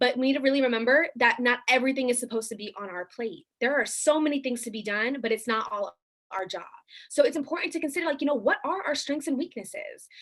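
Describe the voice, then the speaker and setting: The woman's pitch sits high and her intonation is lively. She talks at a very fast pace. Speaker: youth activist workshop leader. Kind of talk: online workshop presentation.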